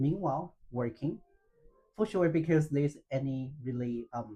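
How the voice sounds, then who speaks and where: A somewhat breathy man's voice, dark and mellow, at medium pitch and moderate pace with ordinary pitch variation. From China, Fujian province. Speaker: freelance language teacher. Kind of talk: interview, personal story. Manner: halting, many fillers.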